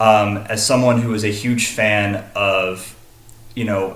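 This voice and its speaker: In a room with audible echo, a man with an American accent speaks at a fairly low pitch in a monotone, flat delivery. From Texas, Dallas. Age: 20s. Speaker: college student. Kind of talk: self-disclosure presentation. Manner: halting, many fillers.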